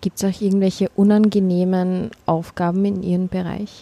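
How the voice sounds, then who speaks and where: This woman's voice has a medium pitch and a dark, mellow tone. Her intonation stays monotone and flat, and the sound is dry and close with no echo. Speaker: podcast host. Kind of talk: interview. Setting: canteen.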